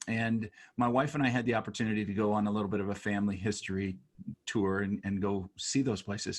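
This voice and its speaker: A man talks very fast in a fairly low pitch, keeping his intonation fairly even. The background is quiet. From United States. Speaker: podcast host and author. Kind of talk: casual interview chat.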